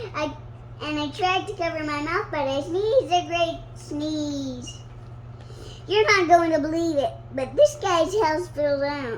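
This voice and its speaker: A squeaky, put-on character voice moves at a fairly slow pace. Background noise is clearly heard. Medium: read story. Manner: chatty, defensive.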